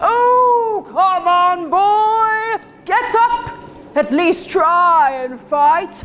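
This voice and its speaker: In a put-on character voice, the speaker goes at a very slow pace over clear background noise. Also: woman, extremely high pitch for a woman. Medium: stage play. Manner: weary, sardonic.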